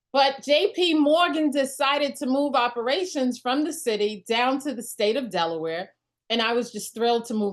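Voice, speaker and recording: With a New York accent, a woman talks at a fairly quick pace and makes very wide pitch swings. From New York (Brooklyn). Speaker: network marketing leader. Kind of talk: motivational talk on a group call. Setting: group call. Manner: extemporaneous.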